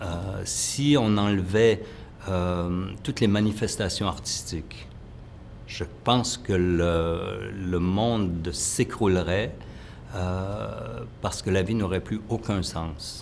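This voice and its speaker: A man speaks very slowly at a very deep, low pitch with ordinary pitch variation. Audible room echo surrounds him. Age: 60s. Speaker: choreographer. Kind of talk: interview. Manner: halting, many hesitations.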